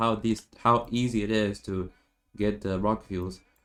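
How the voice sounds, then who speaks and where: On a very clean recording with a silent background, a man with a non-native accent and a fairly low voice speaks fairly slowly with fairly even intonation. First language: not English. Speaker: gaming youtuber. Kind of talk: game tutorial commentary. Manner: halting, many repetitions and fillers.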